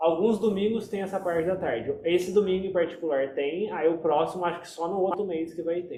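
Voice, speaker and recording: Amid noticeable background noise, a man with a high pitch talks at a fairly quick pace with hardly any pauses, fairly even intonation and big swings in loudness. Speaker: meditation group leader. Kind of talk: casual group discussion.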